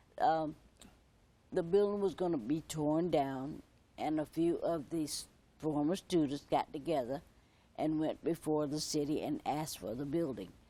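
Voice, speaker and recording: A moderate pace in a South Carolina accent. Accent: South Carolina Southern. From US South, Myrtle Beach area. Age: 70s. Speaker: former student of historic school. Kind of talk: TV interview.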